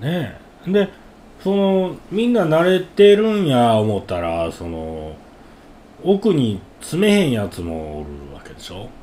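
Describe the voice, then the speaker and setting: A man speaks with a Kansai accent at a fairly slow pace. His loudness swings a lot. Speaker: podcast co-host. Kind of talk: casual chat.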